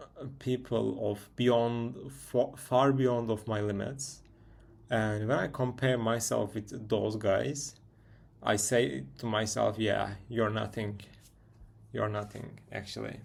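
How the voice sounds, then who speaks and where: Speaking at a very slow pace with vocal fry, a man with a Turkish accent uses a medium pitch. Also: ordinary pitch variation. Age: 20s. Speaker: vlogger. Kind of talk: casual monologue. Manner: halting; self-correcting.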